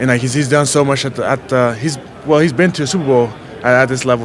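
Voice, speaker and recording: A man talks at a very fast pace with a medium pitch. Audible room echo and noticeable background noise surround him. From Haiti, moved to US around age nine. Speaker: college football player. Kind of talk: press interview. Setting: media session at a scouting event. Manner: casual, repetitive, many fillers.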